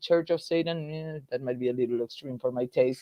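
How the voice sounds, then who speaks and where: A woman speaks in an Argentine accent. Her pitch variation is ordinary. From Argentina. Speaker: political activist. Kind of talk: casual chat.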